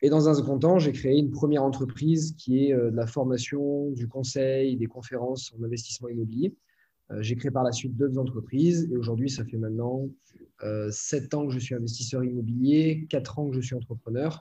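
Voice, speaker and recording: A man talks at a moderate pace and medium pitch with fairly even intonation. His tone is dark and mellow, and somewhat breathy. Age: 20s. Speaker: entrepreneur and online trainer. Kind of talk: casual interview.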